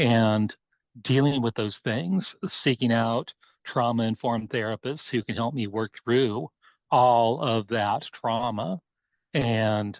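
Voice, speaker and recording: In a dry, close sound with no echo and a quiet background, a man with an American accent speaks very slowly at a medium pitch with ordinary pitch variation. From US West (Oregon). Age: 60s. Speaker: abuse survivor and life coach. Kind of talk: testimony.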